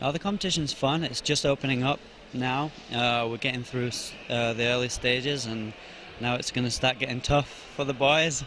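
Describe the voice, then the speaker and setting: With a Yorkshire accent, a man talks at a medium pitch with fairly even intonation amid noticeable background noise. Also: moderate pace. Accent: British, Yorkshire; mistaken for Australian. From Yorkshire, England. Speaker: arm wrestler, national champion. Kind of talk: interview at competition.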